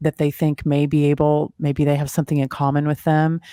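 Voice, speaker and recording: On a very clean recording with a silent background and a dry, close sound with no echo, a woman with a Texan accent speaks at a moderate pace, her pitch very deep and low and her tone dark and mellow. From Texas. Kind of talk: interview conversation.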